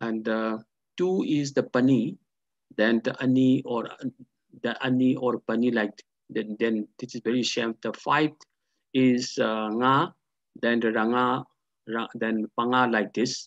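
A man speaks at a medium pitch and a fairly slow pace, his intonation fairly even.

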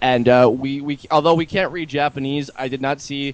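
A man speaks in a plain, everyday voice. His medium pitch holds fairly even intonation. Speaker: amateur flash animator. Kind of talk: casual chat.

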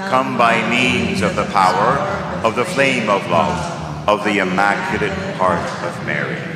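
Loud background noise surrounds a man speaking at a fairly slow pace. His pitch swings very widely. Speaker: priest leading the rosary. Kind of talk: fervent prayer, leading a rosary with call-and-response. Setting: live stream. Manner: fervent, emphatic, rhythmic. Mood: fervent, earnest. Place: church.

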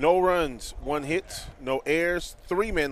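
This is a man speaking. He talks with an American accent. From US North. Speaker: play-by-play announcer. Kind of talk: live commentary.

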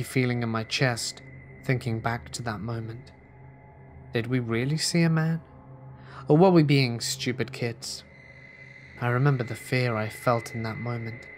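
A man speaks with long, frequent pauses while music plays in the background. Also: medium pitch for a man, ordinary pitch variation, moderate pace. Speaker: horror story narrator. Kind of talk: scripted horror story narration, ghost story telling.

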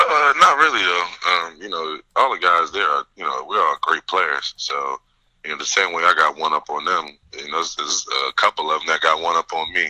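Here a man talks at a fairly quick pace. The sound is dry and close, with no echo. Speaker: college football player and pro prospect. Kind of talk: interview.

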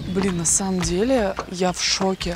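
Light background noise sits behind a woman's voice. The sound is dry, with no echo. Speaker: travel show host. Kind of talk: travel show commentary. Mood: excited, amazed. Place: open country.

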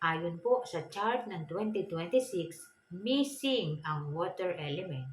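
This woman's voice sits fairly low and moves with very wide pitch swings. She talks at a very slow pace. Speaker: feng shui vlogger. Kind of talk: tutorial. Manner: polite, frequent hesitations.

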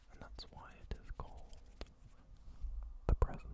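A man is whispering. He keeps a moderate pace. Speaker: ASMR creator. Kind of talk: soft calming ASMR talk. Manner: cupped close-mic ASMR whisper. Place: home room. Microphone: studio mic.

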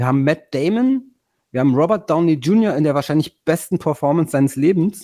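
The recording is very clean with a silent background, and the man's loudness stays very even. His voice is fairly high with a dark, mellow tone and lively intonation. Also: fairly quick pace. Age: 50s. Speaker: podcast host. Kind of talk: casual chat.

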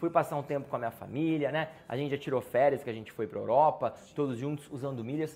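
Music plays behind a man speaking. He goes at a very fast pace with hardly any pauses. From Brazil, interior of São Paulo state (Campinas). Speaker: travel youtuber. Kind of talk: casual Q&A vlog. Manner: animated. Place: home room.

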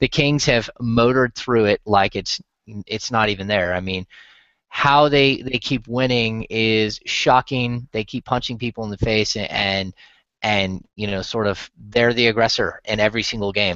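With fairly even intonation, a man speaks at a moderate pace in a fairly low pitch and a fairly bright tone.

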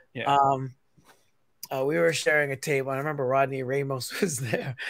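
A man's fairly high-pitched, plain, everyday voice at a moderate pace. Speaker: teacher and comic creator. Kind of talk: casual chat. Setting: in a car.

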